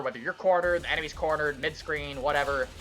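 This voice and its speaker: A man speaking at a very fast pace over music in the background. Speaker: video game modder. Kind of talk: gameplay showcase commentary. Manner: stutters at times; casual, hesitant with fillers.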